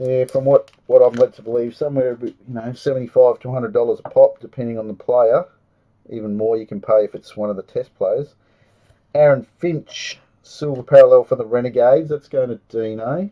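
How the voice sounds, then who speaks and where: A man talks at a moderate pace with an Australian accent. His loudness swings widely. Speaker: trading card box break host. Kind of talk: live stream card break commentary. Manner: casual, chatty.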